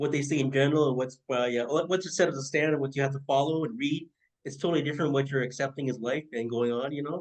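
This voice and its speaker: At a very fast pace, a man speaks with a fairly high pitch and fairly even intonation. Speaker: podcast host. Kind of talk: casual interview chat. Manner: halting, many fillers.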